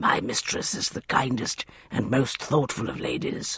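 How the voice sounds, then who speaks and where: A man puts on a raspy character voice at a medium pitch. He moves at a moderate pace. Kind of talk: formal, old-fashioned. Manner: reverent, devoted.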